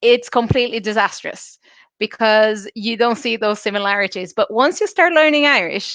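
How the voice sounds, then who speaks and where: A woman with a Portuguese accent speaks in a high voice. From Brazil. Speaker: illustrator and Irish language learner. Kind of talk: interview.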